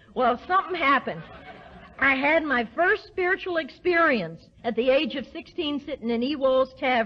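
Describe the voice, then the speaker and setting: Swinging very widely in pitch, a woman with an American accent talks at a high pitch and a moderate pace over noticeable background noise. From US South. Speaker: recovery speaker. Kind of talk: recovery talk to an audience. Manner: animated.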